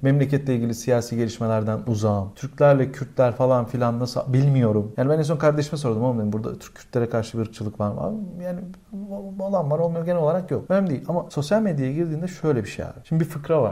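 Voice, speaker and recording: A man talks very fast with lively intonation, his medium-pitched voice dark, mellow and somewhat breathy. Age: 30s. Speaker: podcast host and comedian. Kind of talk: casual chat. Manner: animated.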